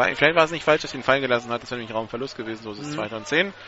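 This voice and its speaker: Noticeable background noise accompanies a man as he speaks. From northern Germany. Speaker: play-by-play radio commentator. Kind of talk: live sports commentary.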